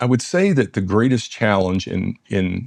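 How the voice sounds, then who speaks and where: In a dry, close sound with no echo, a man speaks at a moderate pace with a Southern US accent. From US South, West Tennessee. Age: 60s. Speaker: dentist and business founder. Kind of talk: interview conversation. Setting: in-person interview in London.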